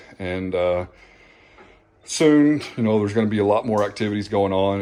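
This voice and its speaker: This is a man with a fairly low pitch. He talks at a fairly quick pace. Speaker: reef tank hobbyist YouTuber. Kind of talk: casual vlog talk. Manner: halting, self-correcting.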